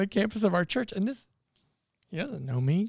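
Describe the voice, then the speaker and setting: In a very clean recording with a silent background, a man speaks at a high pitch, the sound dry and close with no echo. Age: 50s. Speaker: church planting missionary. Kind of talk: casual chat.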